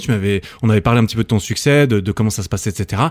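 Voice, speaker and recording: The recording is very clean, with a silent background. A man speaks with a fairly low pitch. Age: 30s. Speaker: podcast host. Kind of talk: casual interview. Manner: animated.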